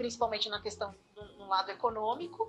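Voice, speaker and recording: A woman speaks in a fairly high voice with a bright, sharp tone. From Osasco, Greater São Paulo, Brazil. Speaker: university professor. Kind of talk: interview. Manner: halting.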